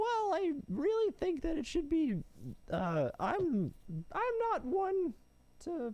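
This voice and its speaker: A man's put-on character voice, extremely high-pitched, at a very slow pace with long, frequent pauses. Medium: actual play. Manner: hesitant, stammering.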